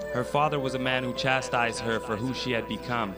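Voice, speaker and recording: Music plays in the background while a man speaks with medium pitch at a moderate pace. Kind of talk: spoken word poetry performance.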